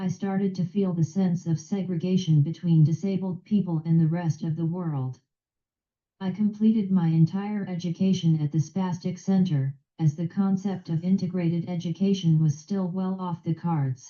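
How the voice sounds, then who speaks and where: Somewhat breathy, a woman speaks at a moderate pace in a fairly low, dark, mellow tone with fairly even intonation. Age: 60s. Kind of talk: prepared speech. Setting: video call.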